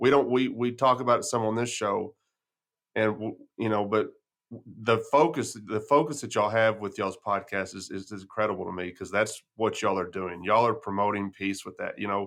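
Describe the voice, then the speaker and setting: Fairly quick and fairly low-pitched, a man speaks with a West Texas accent. The recording is very clean, the background silent. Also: ordinary pitch variation. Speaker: podcast host. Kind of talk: casual interview chat.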